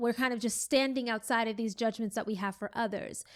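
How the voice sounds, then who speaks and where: A woman speaks with a high pitch. The recording is very clean, with a silent background. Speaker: podcast host. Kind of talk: reflective solo podcast monologue. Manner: slow.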